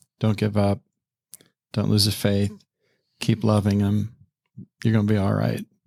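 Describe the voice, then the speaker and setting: A man talks at a moderate pace with a fairly low pitch and a dark, mellow tone, leaving long, frequent pauses. His intonation is monotone and flat, his loudness very even, and the recording is very clean with a silent background. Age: 60s. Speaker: retired pastor. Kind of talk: casual interview.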